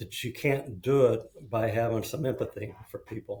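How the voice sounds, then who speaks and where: A man with an American accent speaks fairly slowly at a medium pitch, his somewhat breathy voice dark and mellow in tone with fairly even intonation. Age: 60s. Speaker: construction executive and mental health advocate. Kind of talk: podcast interview.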